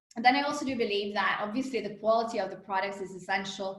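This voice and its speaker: A woman speaks loudly and very fast in an animated tone. Audible room echo surrounds her voice. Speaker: company co-founder and executive. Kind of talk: interview.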